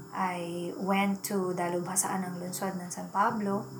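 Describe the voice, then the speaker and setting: Speaking at a very slow pace in a monotone, flat delivery, a woman with a medium-pitched voice is heard against noticeable background noise and audible room echo. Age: 40s. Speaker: podcast host and teacher. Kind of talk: personal storytelling monologue.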